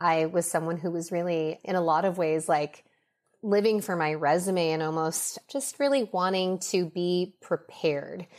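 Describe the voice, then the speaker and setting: Very clean recording with a silent background: a woman at a fairly low pitch, moderate pace and ordinary pitch variation. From US West Coast, Los Angeles. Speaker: beauty brand founder. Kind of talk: interview.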